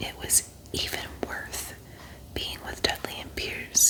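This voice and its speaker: Someone whispers at a fairly slow pace in a calm tone. Noticeable background noise sits behind the voice. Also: woman. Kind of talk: ASMR audiobook reading for sleep. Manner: soft, calm.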